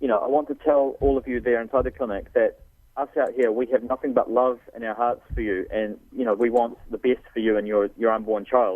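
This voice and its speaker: With a New Zealand accent, a man talks fairly quickly in a fairly even intonation. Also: medium pitch for a man, hardly any pauses. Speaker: pro-life activist. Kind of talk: radio interview.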